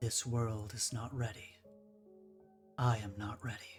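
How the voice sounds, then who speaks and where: A man's put-on character voice at medium pitch and a fairly slow pace, with clear music in the background. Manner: distressed, panicked.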